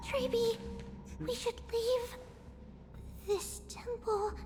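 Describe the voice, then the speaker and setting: A put-on character voice delivers lines at a very slow pace over clear music in the background. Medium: video game. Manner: alert, cautious.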